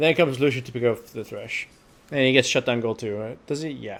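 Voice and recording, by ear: Mumbling at a fairly quick pace in a put-on character voice, a man keeps a medium pitch and fairly even intonation while his loudness swings widely.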